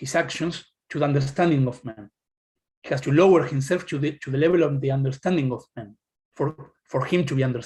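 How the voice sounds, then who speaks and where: A somewhat breathy man's voice, fairly high in pitch with ordinary pitch variation, at a fairly quick pace. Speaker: academic presenter. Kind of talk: lecture. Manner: fast; halting.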